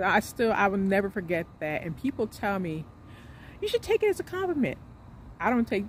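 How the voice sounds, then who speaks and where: A somewhat breathy woman's voice at a fairly quick pace. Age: 40s. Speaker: vlogger. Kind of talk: casual monologue vlog. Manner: hesitant with many fillers.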